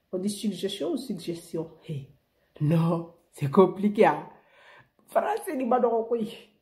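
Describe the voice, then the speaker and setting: Speaking at a very slow pace with long, frequent pauses, a woman uses a medium pitch, a somewhat breathy, dark, mellow tone and very wide pitch swings. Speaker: beauty vlogger. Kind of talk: beauty tutorial. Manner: animated.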